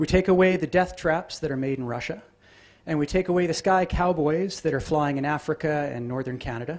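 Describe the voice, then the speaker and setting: At a moderate pace, a man speaks in an unremarkable speaking voice, fairly high in pitch with ordinary pitch variation. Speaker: aviation safety presenter. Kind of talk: conference presentation.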